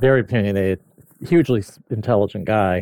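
A man with an ordinary speaking voice, fairly low in pitch with ordinary pitch variation, in a dry, close sound with no echo. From US Midwest, mid Michigan. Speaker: automotive media editor. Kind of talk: casual chat.

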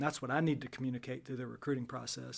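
A man at medium pitch with fairly even intonation, on a very clean recording with a silent background. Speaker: wrestling coach. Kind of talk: casual chat. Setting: studio.

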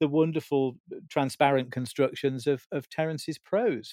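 A plain, everyday voice at a moderate pace, in a dry, close sound with no echo. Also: man. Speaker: broadcaster and cultural historian. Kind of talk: casual chat.

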